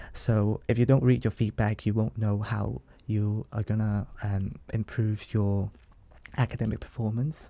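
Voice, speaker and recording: In a Hong Kong accent, a man speaks at a fairly slow pace with a dark, mellow tone. The recording is very clean, with a silent background. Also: ordinary pitch variation. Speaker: law student. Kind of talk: interview.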